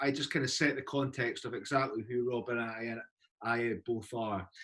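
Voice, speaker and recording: With a Scottish accent, a man talks at a moderate pace. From Scotland. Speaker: university recruitment representative. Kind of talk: informational presentation. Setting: video call.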